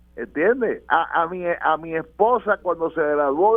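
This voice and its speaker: Music plays behind a man with a high-pitched voice. He talks at a very slow pace with ordinary pitch variation. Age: 70s. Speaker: political commentator. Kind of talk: radio panel discussion.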